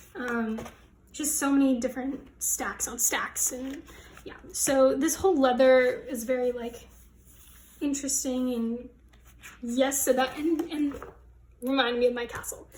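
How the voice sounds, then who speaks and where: With an American accent, a woman at high pitch speaks at a fairly slow pace with fairly even intonation, long, frequent pauses and big swings in loudness. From United States. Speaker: fashion design student. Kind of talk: casual project walkthrough vlog.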